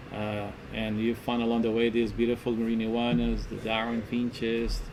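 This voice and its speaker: A man speaks at a moderate pace in a medium pitch with monotone, flat intonation. Noticeable background noise sits behind him. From Galapagos Islands, Ecuador. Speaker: tour guide. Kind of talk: interview answer.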